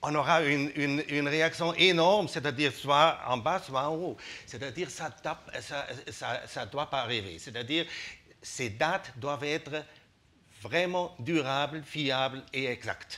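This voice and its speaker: At a fairly slow pace, a voice with a bright, sharp tone speaks with a non-native accent. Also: man, fairly high pitch for a man, ordinary pitch variation. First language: not French (speaking French). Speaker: business representative. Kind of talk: TV talk show interview. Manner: halting, many hesitations.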